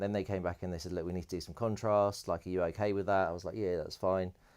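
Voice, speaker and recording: Over a silent background in a very clean recording, a man with a British accent speaks in a very deep, low voice with fairly even intonation. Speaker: electronic music producer and DJ. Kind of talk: interview, personal storytelling. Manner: fast.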